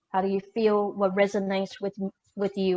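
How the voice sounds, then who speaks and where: A woman speaks with a slight Taiwanese accent. Her pace is fairly quick. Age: 50s. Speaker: keynote speaker and discussion facilitator. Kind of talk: moderating a discussion. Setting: video call.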